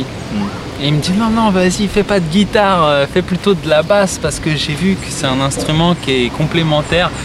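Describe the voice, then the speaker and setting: Music plays in the background as a man speaks at a moderate pace with hardly any pauses. His pitch is fairly high, with ordinary pitch variation. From Île-de-France (Essonne). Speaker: singer-songwriter. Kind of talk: casual chat. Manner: hesitant, many fillers.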